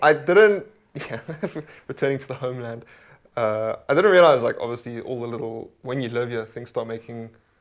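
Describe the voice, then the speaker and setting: A man with a South African accent talks at a fairly quick pace, his pitch medium with ordinary variation. His loudness swings widely. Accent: South African accent among Scots. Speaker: stand-up comedian. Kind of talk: casual chat.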